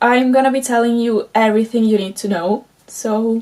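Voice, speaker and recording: A woman's high pitch at a moderate pace, with fairly even intonation and music in the background. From Italy. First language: Italian. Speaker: crochet pattern designer. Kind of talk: tutorial. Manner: halting.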